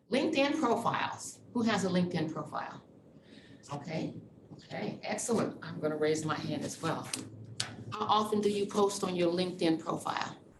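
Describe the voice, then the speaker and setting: A woman with an American accent speaks at a moderate pace and medium pitch, her intonation lively, amid noticeable background noise and audible room echo. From Texas (Dallas). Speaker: university diversity officer. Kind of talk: presentation. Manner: animated.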